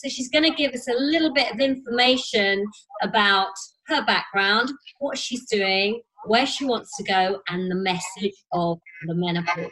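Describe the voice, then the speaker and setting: A normal speaking voice, this woman talks at a moderate pace and fairly high pitch with lively intonation. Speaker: podcast host, fitness professional. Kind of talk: interview.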